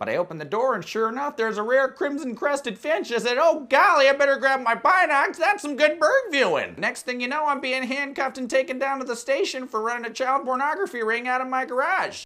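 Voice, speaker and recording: Put-on character voice, female-sounding and high for a woman, at a very fast pace. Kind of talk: mock documentary interview answer. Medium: comedy sketch. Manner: folksy, wholesome. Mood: cheerful, gullible.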